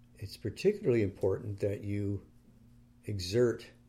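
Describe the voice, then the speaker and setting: A man's fairly low, dark and mellow voice, somewhat breathy, with fairly even intonation. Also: very clean recording, silent background. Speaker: meditation teacher. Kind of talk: guided meditation. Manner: slow, calm, soothing; gentle, unhurried, with long pauses.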